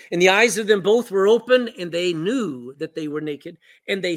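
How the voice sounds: Reading in a natural voice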